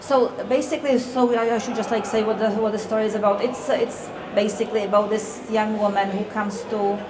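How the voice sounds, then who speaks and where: Fairly quick and with hardly any pauses, a woman talks in a fairly high, monotone, flat voice, with audible room echo and noticeable background noise. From Czech Republic. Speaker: author. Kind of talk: interview at a public event. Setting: live audience in a café. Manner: hesitant, many fillers.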